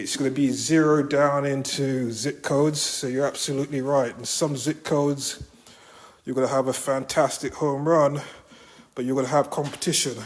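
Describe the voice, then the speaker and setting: A man speaks with a British accent, his pitch fairly high. His intonation stays flat and monotone at a moderate pace. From Britain. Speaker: real estate agent. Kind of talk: on-site property walkthrough talk to clients.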